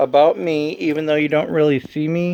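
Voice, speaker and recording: Noticeable background noise sits behind a voice moving at a moderate pace. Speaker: video channel host. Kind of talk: casual chat.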